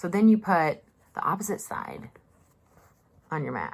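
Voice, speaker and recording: Speaking with a Southern US accent, a woman uses a medium pitch. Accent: Southern US drawl. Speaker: mask maker. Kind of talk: casual talk to camera. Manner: chatty, sarcastic.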